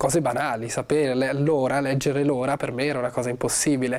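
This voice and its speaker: Fairly quick speech from a man amid noticeable background noise. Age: 20s. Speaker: actor. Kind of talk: interview. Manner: halting.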